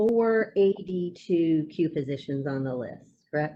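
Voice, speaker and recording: Speaking with a Southern US accent, a woman talks at a fairly slow pace with ordinary pitch variation. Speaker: attorney. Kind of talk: cross-examination.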